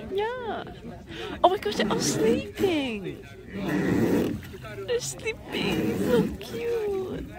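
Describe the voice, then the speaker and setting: Very slow speech against loud background noise, dry with no echo. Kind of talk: casual vlog chat. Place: boat. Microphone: phone near.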